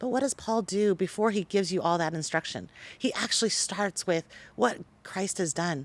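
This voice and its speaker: A woman speaks in an ordinary speaking voice at a moderate pace, her medium pitch moving with ordinary variation in a dry, close sound with no echo. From Taiwan-born Chinese American, raised in US. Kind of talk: podcast interview.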